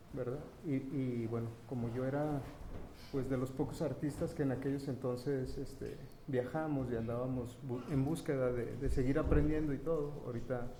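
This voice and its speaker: A soft-spoken man talks at a moderate pace in a medium-pitched, monotone voice, with audible room echo. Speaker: printmaking artist and event organizer. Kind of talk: round table talk. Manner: halting.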